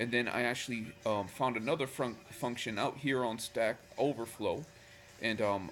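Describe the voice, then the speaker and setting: Music plays in the background as a man speaks. His pitch is medium, with fairly even intonation. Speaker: Excel VBA tutorial maker. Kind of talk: casual screen-recorded tutorial. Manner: casual, hesitant with fillers.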